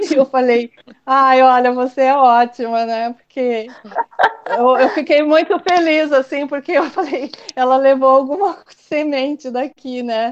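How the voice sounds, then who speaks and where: The woman's pitch is high, with ordinary variation. She speaks at a fairly slow pace. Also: quiet background. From Brazil, São Paulo state. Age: 60s. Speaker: Waldorf teacher and educator. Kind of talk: casual interview. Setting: online call.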